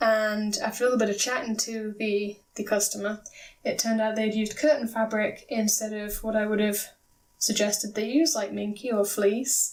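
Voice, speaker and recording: A woman with a British accent, fairly high in pitch, with fairly even intonation. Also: moderate pace. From Britain. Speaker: craft video maker, plush pattern designer. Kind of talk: tutorial.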